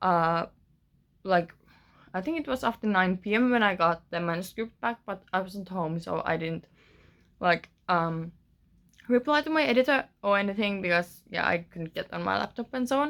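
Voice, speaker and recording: On a very clean recording with a silent background, a woman with a Finnish accent speaks at a moderate pace with medium pitch and lively intonation. She takes long, frequent pauses. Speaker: author. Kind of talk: casual vlog. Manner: hesitant, many fillers.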